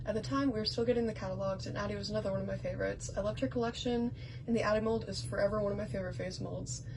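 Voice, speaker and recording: Mumbling at a very fast pace, a woman is hard to make out. Noticeable background noise and audible room echo fill the recording. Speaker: doll collector. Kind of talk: show-and-tell vlog. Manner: halting.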